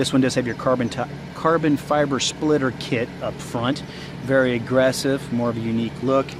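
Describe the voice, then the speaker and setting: A medium-pitched male voice against noticeable background noise. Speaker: car dealership salesperson. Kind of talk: product walkaround review. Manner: fast; casual, enthusiastic.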